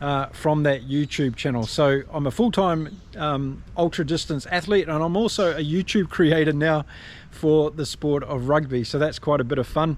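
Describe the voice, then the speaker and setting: A man with a New Zealand accent, fairly high in pitch, at a moderate pace with ordinary pitch variation. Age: 50s. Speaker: ultra distance runner. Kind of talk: casual talk to camera.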